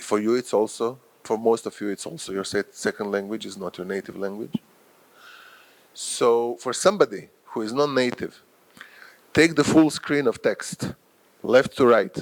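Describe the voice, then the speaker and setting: In a Croatian accent, a man of medium pitch speaks at a moderate pace with lively intonation, big swings in loudness and long, frequent pauses, in a dry, close sound with no echo. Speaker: professor and journal editor. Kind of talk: lecture. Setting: workshop with audience.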